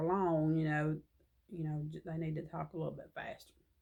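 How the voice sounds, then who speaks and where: A woman with a Southern US accent speaks at a fairly low pitch. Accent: Southern drawl. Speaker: crochet vlogger. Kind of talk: casual chat.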